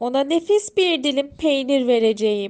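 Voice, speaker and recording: A woman adopts a put-on character voice pitched high. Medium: read story.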